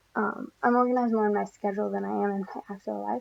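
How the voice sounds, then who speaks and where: A woman speaks quietly. Her pace is fairly quick. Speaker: college student. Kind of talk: class presentation. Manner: soft-spoken.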